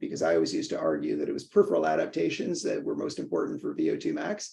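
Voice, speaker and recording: Someone with a Canadian accent talks at a very fast pace. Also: man. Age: 60s. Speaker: professor and neurologist. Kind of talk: casual chat. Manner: halting, many fillers.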